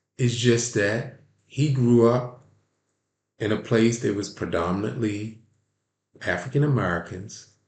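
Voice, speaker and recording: This man talks at a fairly slow pace with long, frequent pauses, in a medium pitch and a Baltimore accent. His voice is somewhat breathy and his tone animated, with audible room echo around it. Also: ordinary pitch variation. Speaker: sports commentary channel host. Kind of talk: opinion commentary monologue. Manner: animated, repetitive with frequent restarts.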